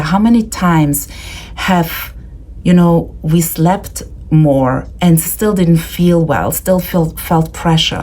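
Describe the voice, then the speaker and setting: A woman's fairly low-pitched voice with fairly even intonation, set against noticeable background noise. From Austria. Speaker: leadership coach. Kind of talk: presentation.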